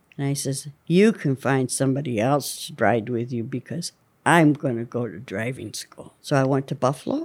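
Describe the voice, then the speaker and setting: A woman's very deep, low voice in a western Pennsylvania accent, with lively intonation at a moderate pace. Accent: western Pennsylvania American. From rural northwestern Pennsylvania. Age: 80s+. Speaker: retiree and care home resident. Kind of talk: casual interview chat. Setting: care home, during a manicure.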